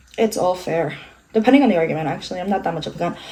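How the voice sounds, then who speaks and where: A woman speaks over noticeable background noise. Her pitch swings very widely. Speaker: beauty vlogger. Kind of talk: casual chat. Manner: fast; stumbling over words.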